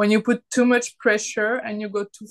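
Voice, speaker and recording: In a French accent, a woman speaks at a fairly high pitch, the sound dry and close with no echo against a quiet background. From France. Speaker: artist and self-published author. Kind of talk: casual chat.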